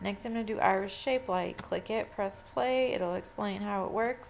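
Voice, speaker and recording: A woman's voice at a moderate pace and medium pitch, an ordinary speaking voice. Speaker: photo editing tutor. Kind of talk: tutorial.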